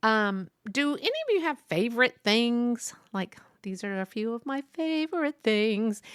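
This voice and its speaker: In a Texas accent, a woman with a fairly high pitch and a bright, sharp tone talks at a fairly slow pace with very wide pitch swings, recorded with a dry, close sound and no echo. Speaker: podcast host. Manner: casual, rambling with frequent fillers.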